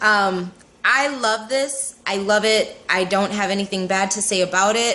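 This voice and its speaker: Over noticeable background noise, a woman speaks with a fairly high pitch and fairly even intonation. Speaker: beauty vlogger. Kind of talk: product review vlog.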